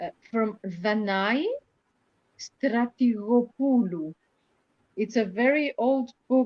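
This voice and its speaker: A woman with a Greek accent speaks at a very slow pace and a fairly high pitch, leaving long, frequent pauses. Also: ordinary pitch variation. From Greece. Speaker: poet and translator.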